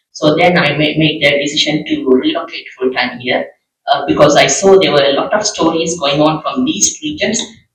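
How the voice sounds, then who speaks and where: At a moderate pace, a man speaks with a Tamil accent. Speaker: journalist. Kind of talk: panel discussion.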